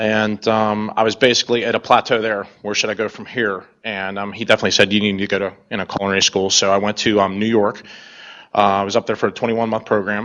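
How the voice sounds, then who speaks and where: Monotone and flat in intonation, a man with fairly low pitch talks at a very fast pace. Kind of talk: presentation to an audience. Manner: quiet, laid back.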